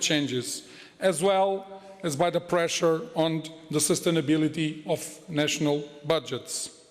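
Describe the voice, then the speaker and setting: With noticeable background noise behind him, a man speaks at a fairly slow pace with ordinary pitch variation. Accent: Portuguese. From Portugal. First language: Portuguese. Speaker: head of a financial regulator. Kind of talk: conference speech. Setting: conference hall with audience. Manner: formal.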